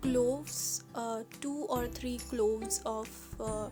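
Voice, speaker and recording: A woman speaking at a very slow pace with music in the background. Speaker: Ayurveda health channel host. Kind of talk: recipe tutorial talk to camera.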